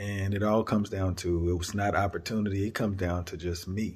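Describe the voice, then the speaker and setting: A man with a fairly low, somewhat breathy voice is heard on a very clean recording with a silent background. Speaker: podcaster. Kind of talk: motivational monologue. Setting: on a work break. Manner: monotone, self-described; reflective, motivational.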